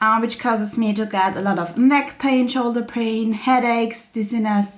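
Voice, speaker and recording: A woman's fairly high voice with an Austrian accent, at a moderate pace, over noticeable background noise. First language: German. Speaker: crafting YouTuber. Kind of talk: casual vlog chat. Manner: hesitant, many fillers.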